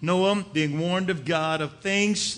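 The voice belongs to a man. It has a bright, sharp tone. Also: quiet background. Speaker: preacher. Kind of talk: sermon. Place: church.

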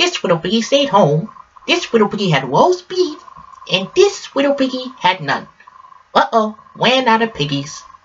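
Using a put-on character voice, a man speaks at a moderate pace in an extremely high pitch with very wide pitch swings. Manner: sweet, innocent.

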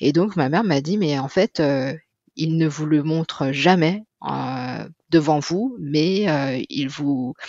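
Very deep and low for a woman, her voice has a dark, mellow tone, ordinary pitch variation, and a very slow pace. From France, of Chinese heritage. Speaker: mother in a two-mother family. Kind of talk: interview testimony. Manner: hesitant, many fillers.

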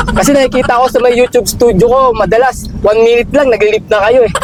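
A man at a very fast pace with fairly even intonation, amid noticeable background noise. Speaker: delivery truck driver and vlogger. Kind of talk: casual vlog.

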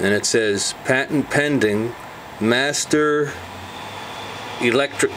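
The pace is very slow. Noticeable background noise sits behind the voice. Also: man. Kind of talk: casual exploration commentary. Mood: curious, slightly spooked. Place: home room. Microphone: phone near.

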